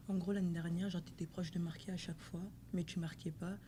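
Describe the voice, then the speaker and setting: A woman speaks at a fairly low pitch with vocal fry. Her intonation stays fairly even. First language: French. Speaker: interpreter for teammate, footballer. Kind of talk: press conference interpreting. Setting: press conference. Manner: halting.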